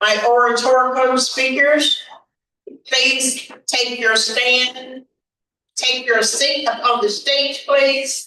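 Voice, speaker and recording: A woman with an American accent speaks in a high, raised, projected voice at a very slow pace. Her intonation stays fairly even and her loudness very even. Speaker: event emcee. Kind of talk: event announcements.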